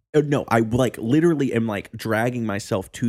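A man speaks at a moderate pace with a fairly low pitch, lively intonation and vocal fry. The recording is very clean, with a silent background. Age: 20s. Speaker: band member and podcast co-host. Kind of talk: casual chat. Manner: halting.

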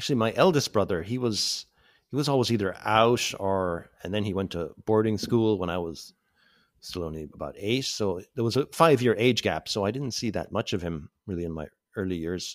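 At a moderate pace, a man speaks in a Cork accent. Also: very clean recording, silent background. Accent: Cork Irish. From North Cork, Ireland. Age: 40s. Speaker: abuse survivor. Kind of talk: personal testimony. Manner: halting.

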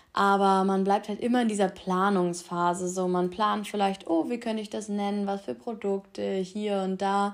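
Talking at a moderate pace with hardly any pauses, a woman of medium pitch keeps her intonation fairly even. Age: 20s. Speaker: university student and podcaster. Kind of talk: casual solo podcast monologue. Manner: casual, with filler words.

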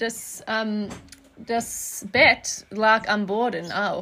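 A woman's voice, fairly high in pitch, has a bright, sharp tone. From Australia, Melbourne. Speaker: artist and interior designer. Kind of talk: casual chat. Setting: outdoors on a farm. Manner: halting.

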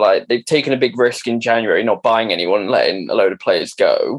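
A man talks at a fairly quick pace. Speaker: football fan panelist, Chelsea supporter. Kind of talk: casual football banter.

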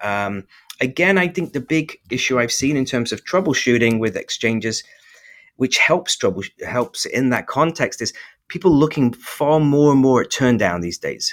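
With lively intonation and a fairly high pitch, a man talks at a moderate pace on a very clean recording with a silent background. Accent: English. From England. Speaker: company representative. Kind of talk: casual interview.

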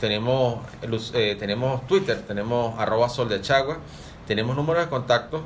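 Amid audible room echo and noticeable background noise, a man of medium pitch speaks at a fairly slow pace. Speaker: lodge secretary. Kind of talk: radio talk. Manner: halting, many repetitions.

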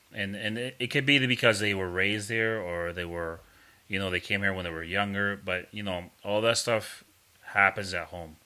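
A man's fairly low pitch with a bright, sharp tone. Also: moderate pace. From New Hampshire, US; Puerto Rican and Dominican family. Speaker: podcast co-host. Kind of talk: casual chat.

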